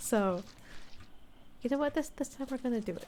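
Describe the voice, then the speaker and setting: A woman with a relaxed tone. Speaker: ASMR VTuber / gameplay streamer. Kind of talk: soft-spoken ASMR gameplay commentary. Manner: soft-spoken, relaxed.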